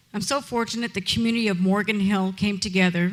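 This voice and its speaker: A woman's medium-pitched voice at a moderate pace. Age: 60s. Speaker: honorary degree recipient, charity founder. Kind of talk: graduation speech.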